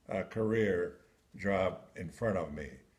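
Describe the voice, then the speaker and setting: A man's lively intonation carries over noticeable background noise. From Macedonia. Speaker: war veteran. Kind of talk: memoir reading.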